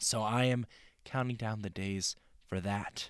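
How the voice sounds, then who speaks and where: Recorded very cleanly against a silent background, a man talks at a fairly slow pace with ordinary pitch variation in a dry, close sound with no echo. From California. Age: 20s. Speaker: student podcast host. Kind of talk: casual solo podcast. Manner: animated.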